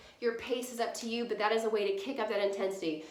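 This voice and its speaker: Fairly high in pitch, a woman talks at a fairly quick pace. Audible room echo and noticeable background noise fill the recording. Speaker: fitness instructor. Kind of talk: tutorial. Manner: quiet.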